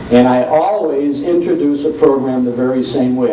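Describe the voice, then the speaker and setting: A man's fairly high voice moves at a moderate pace with fairly even intonation, heard through noticeable background noise. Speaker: old-time radio host. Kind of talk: panel discussion talk about radio broadcasting.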